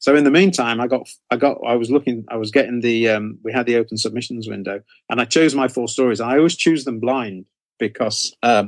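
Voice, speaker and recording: With an English accent, a man speaks at a fairly quick pace, his medium pitch showing ordinary pitch variation. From England. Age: 60s. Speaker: horror author. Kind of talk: interview. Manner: halting, many fillers.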